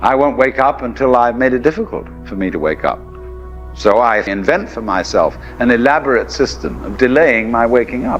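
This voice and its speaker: Over background music, a man talks at a moderate pace. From England. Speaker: philosopher, lecturer. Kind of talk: philosophical lecture.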